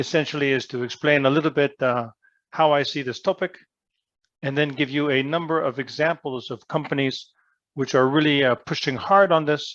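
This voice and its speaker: Talking fairly quickly, a man uses an ordinary speaking voice, pitched fairly high, with fairly even intonation. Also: quiet background. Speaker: business school professor. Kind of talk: lecture.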